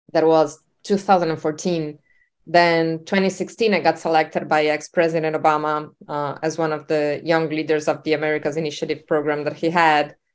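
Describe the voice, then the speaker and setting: A woman speaks with a Spanish accent at a moderate pace. Her very deep, low pitch carries a monotone, flat intonation. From Uruguay. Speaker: entrepreneur. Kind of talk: interview.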